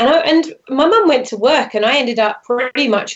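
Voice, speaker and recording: Speaking with a British accent at a moderate pace, a woman's voice makes very wide pitch swings. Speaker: branding expert. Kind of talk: interview. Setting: phone or video call from France.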